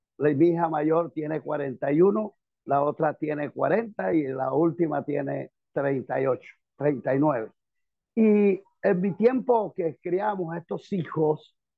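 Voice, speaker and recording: An unremarkable speaking voice from a man with a fairly high pitch, lively intonation and a fairly slow pace. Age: 60s. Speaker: pastor and military chaplain. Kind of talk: participant comment in online class.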